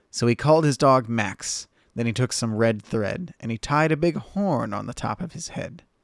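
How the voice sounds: Reading done in a natural reading voice.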